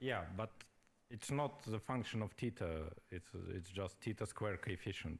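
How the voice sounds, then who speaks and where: At a moderate pace, a man talks in a voice that is somewhat breathy. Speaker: physicist in audience asking question. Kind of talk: conference Q&A. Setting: conference hall with audience.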